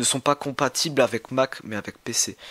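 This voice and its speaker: Speaking at a very slow pace, a man with a fairly high pitch sounds dry and close, with no echo. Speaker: YouTuber, figurine collector. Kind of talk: casual vlog talk. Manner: halting.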